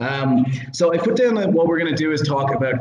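A man with an Irish accent speaks at a fairly quick pace. Audible room echo and noticeable background noise surround his voice. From Ireland. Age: 30s. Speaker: podcast host. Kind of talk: casual chat.

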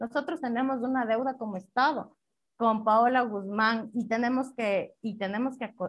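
Against a quiet background, a woman with a plain, everyday voice speaks at a fairly high pitch with ordinary pitch variation. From Ecuador, Riobamba. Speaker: constitutional lawyer. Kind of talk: interview. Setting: internet call.

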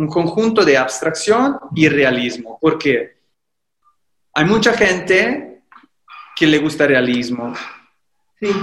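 The man's voice is fairly high, with very wide pitch swings and audible room echo. He goes at a very slow pace, with long, frequent pauses. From Italy, Livorno (Tuscany). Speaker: painter and actor. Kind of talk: casual interview.

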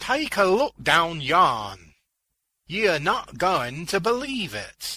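Putting on a character voice, a man speaks slowly in a bright, sharp tone with a slightly husky edge and very wide pitch swings. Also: fairly high pitch for a man.

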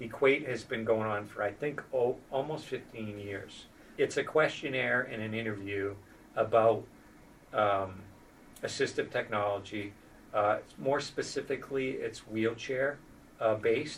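Pitched in the medium range, the man's voice is a plain, everyday voice with ordinary pitch variation. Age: 50s. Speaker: spinal cord injury program manager and wheelchair user. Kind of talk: interview conversation.

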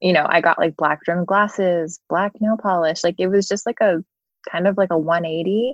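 A woman speaks in a plain, everyday voice at a moderate pace. Her pitch sits fairly low, with fairly even intonation. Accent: American. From Philadelphia area, US. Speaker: music photographer. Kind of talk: casual chat.

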